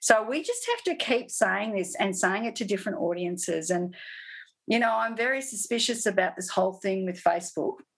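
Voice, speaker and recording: Using a normal speaking voice, a woman talks at a fairly quick pace and medium pitch with ordinary pitch variation. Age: 50s. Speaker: artist and sustainability educator. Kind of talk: interview.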